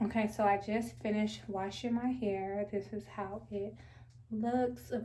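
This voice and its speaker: A woman with fairly even intonation talks fairly slowly in a somewhat breathy voice. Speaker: natural hair vlogger. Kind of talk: hair tutorial. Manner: casual, conversational with fillers.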